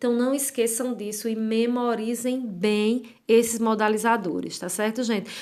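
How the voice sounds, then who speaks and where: A woman speaks at a fairly slow pace in a fairly high pitch with fairly even intonation. Room echo is audible. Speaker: writing teacher. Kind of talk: lecture.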